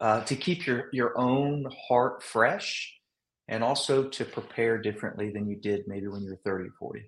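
A plain, everyday voice from a man, medium in pitch, with ordinary pitch variation and a moderate pace. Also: big swings in loudness. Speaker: podcast host. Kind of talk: interview conversation.

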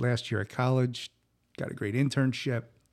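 A man talks at medium pitch and a moderate pace with fairly even intonation in a normal speaking voice, on a very clean recording with a silent background. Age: 50s. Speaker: podcast host. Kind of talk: solo monologue. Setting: home studio.

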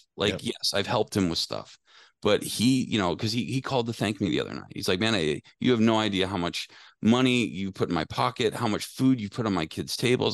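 A man's fairly low voice with lively intonation over a quiet background. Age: 40s. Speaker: HVAC technical trainer. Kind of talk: casual interview. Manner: halting, many fillers.

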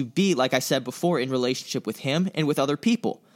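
In an American accent, a man uses an ordinary speaking voice with a fairly high pitch and lively intonation, the sound dry and close with no echo on a very clean recording with a silent background. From US South, Tampa, Florida. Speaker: church intern and podcast co-host, college student. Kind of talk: casual chat.

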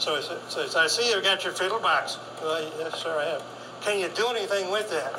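Over noticeable background noise and audible room echo, a man speaks in a raised, projected voice at a fairly quick pace with ordinary pitch variation. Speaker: fiddler and author. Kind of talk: workshop talk.

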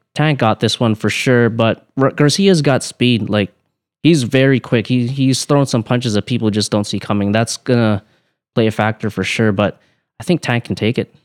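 Soft-spoken delivery at a moderate pace with ordinary pitch variation, dry and close with no echo, on a very clean recording against a silent background. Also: man. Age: 20s. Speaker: professional boxer. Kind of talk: casual interview.

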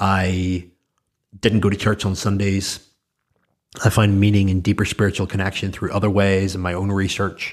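On a very clean recording with a silent background, a man speaks at a moderate pace in a Northern Irish accent. His fairly low voice is monotone and flat, broken by long, frequent pauses. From Northern Ireland. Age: 30s. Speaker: entrepreneur and podcast host. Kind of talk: solo monologue.

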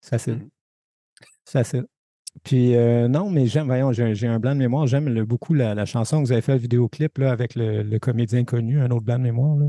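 A fairly quick delivery in a Quebec accent, dark and mellow in tone, with fairly even intonation and very even loudness. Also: man, medium pitch for a man. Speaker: podcast co-host. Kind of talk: casual interview.

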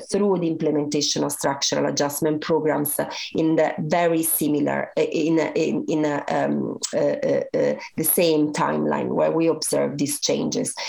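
There is noticeable background noise. Over it, a woman talks fairly slowly. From Italy. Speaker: professor. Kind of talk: interview answers, academic explanation.

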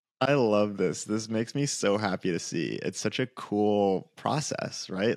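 A normal speaking voice with lively intonation comes through in a very clean recording with a silent background. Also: man. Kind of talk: casual interview chat.

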